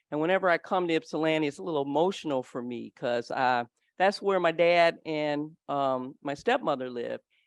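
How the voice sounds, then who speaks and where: A woman at a moderate pace, dry and close with no echo, over a quiet background. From US Midwest, Detroit. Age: 60s. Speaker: psychologist, speaker. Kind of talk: conference presentation. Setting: stage with audience. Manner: animated.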